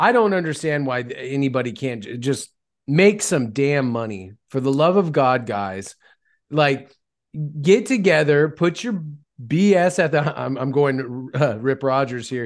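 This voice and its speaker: Lively intonation marks a man's unremarkable speaking voice, fairly high in pitch and at a fairly slow pace. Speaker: wrestling podcast co-host. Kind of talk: casual chat.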